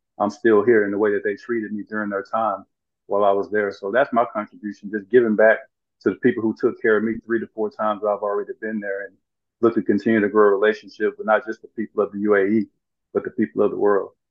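With a Southern US accent, a man talks very fast in a fairly low pitch and a monotone, flat intonation. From US South, rural Arkansas. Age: 40s. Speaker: former pro basketball player and motivational speaker. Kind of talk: interview.

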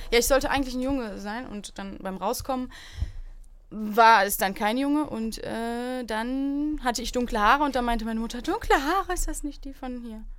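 Her loudness swings widely as a woman speaks at a moderate pace with a high pitch and ordinary variation. Room echo is audible. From Germany, Aachen. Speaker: comedian. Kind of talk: casual chat.

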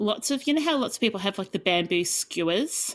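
In a very clean recording with a silent background, a woman with an Australian accent speaks at a medium pitch that makes very wide swings. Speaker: podcast co-host, professional declutterer. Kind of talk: casual chat.

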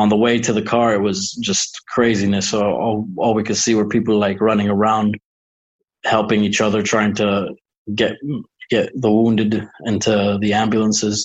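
The loudness stays very even throughout. Intonation is monotone and flat. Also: man, fairly low pitch for a man, moderate pace. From Lebanon. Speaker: rapper and music company director. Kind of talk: casual interview. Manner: halting, emotional.

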